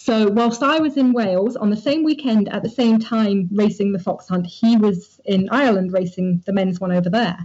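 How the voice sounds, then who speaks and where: A woman of medium pitch, somewhat breathy, with ordinary pitch variation, a moderate pace and hardly any pauses. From southern England, Dorset. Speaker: amateur mountain bike racer. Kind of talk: interview.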